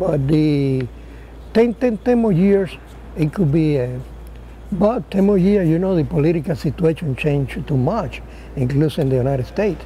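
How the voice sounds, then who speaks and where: With a strong Spanish accent, a man speaks at a fairly high pitch with lively intonation, very even loudness, and long, frequent pauses. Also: moderate pace. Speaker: war veteran pilot. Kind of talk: interview. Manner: halting, repetitive.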